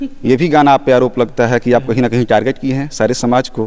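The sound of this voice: At a fairly quick pace, a man speaks with a slightly mellow tone, a medium pitch, and fairly even intonation.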